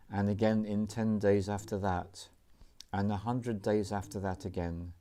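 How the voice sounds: The speaker uses a natural reading voice. Nothing else stands out in the delivery.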